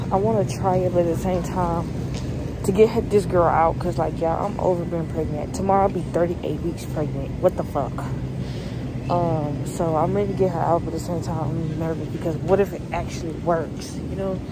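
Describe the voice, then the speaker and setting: A woman at a fairly quick pace, dry with no echo, over loud background noise. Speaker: pregnant vlogger. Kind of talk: casual vlog chat. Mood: nervous, excited. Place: shop. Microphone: phone near.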